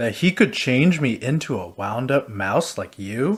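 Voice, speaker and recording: A man's put-on character voice at medium pitch, on a very clean recording with a silent background. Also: moderate pace. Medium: read story. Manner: timid, earnest.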